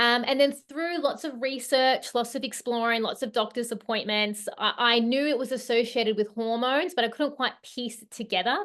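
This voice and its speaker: Her pitch is high, and the woman barely pauses. She talks with hardly any pauses throughout. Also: ordinary pitch variation, moderate pace, quiet background. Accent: Australian. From Australia. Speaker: hormone health coach. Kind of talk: online workshop presentation. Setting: video call. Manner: hesitant, many fillers.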